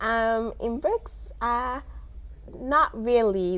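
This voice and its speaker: A woman with a Somali accent. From South Africa. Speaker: immigrant guest. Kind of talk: interview. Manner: many hesitations (um).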